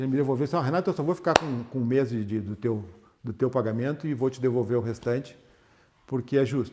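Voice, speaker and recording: Here a man has a medium pitch. His words come at a very fast pace. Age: 60s. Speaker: former manager. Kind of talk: casual interview.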